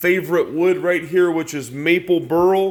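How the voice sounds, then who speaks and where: A high-pitched man with a Chicago accent, at a fairly slow pace. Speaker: pool cue dealer. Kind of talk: product showcase video.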